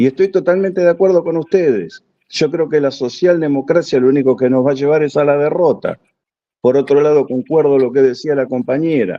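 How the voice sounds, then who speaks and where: A man with a plain, everyday voice talks at a fairly quick pace and fairly high pitch, with ordinary pitch variation and very even loudness. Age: 60s. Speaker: audience participant, army reservist. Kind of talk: question-and-answer contribution at an online conference.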